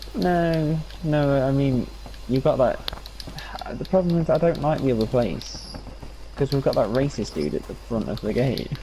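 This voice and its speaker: A man's voice with long, frequent pauses against noticeable background noise. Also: moderate pace. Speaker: gaming co-op partner. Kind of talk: casual gameplay chat.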